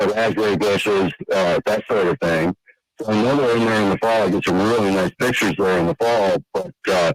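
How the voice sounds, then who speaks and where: A man speaks in an unremarkable speaking voice, with ordinary pitch variation and very even loudness, recorded dry and close with no echo. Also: fairly low pitch for a man, moderate pace. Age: 60s. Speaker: caller, landowner and deer hunter. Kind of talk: call-in question.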